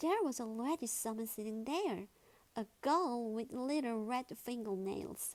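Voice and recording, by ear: Someone reading aloud in a natural voice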